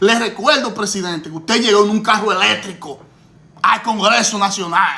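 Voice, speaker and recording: A man talks in a raised, projected voice at a high pitch for a man, at a moderate pace. His tone is animated, with ordinary pitch variation. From Dominican Republic. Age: 50s. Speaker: political commentator. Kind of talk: political commentary.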